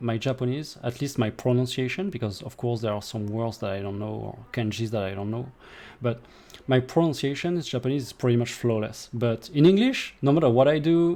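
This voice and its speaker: A man speaks with a French accent. His tone is dark and mellow. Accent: French accent noticeable in English. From France. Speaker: gaming streamer. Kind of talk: live gameplay commentary. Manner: casual, with hesitations.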